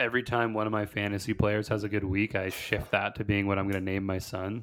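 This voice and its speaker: Fairly low pitch from a man, captured on a very clean recording against a silent background. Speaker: podcast co-host. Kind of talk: casual banter about football and betting.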